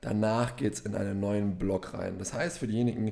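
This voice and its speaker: Fairly low in pitch, this man has a dark, mellow tone and talks at a moderate pace with ordinary pitch variation. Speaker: gym podcast co-host. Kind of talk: casual chat.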